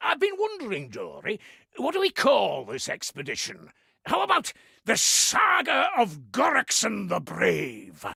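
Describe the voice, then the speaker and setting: At a moderate pace, a man speaks in a put-on character voice. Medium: video game.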